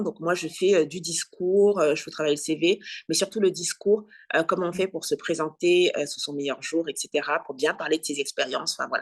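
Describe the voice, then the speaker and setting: At a moderate pace and medium pitch, a woman talks in an ordinary speaking voice over a quiet background. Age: 40s. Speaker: career coach and journalist. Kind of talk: interview.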